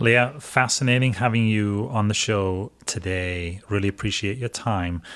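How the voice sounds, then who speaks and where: This speaker, in a Welsh accent, moves at a fairly slow pace with hardly any pauses and ordinary pitch variation. The recording is very clean, with a silent background. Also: man, fairly low pitch for a man. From Wales. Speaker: school superintendent and podcast host. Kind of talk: podcast interview.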